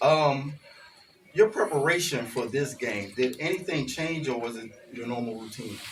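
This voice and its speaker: A man with medium pitch speaks at a moderate pace with lively intonation and big swings in loudness. Audible room echo and noticeable background noise surround him. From New Orleans. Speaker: reporter. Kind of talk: press conference question.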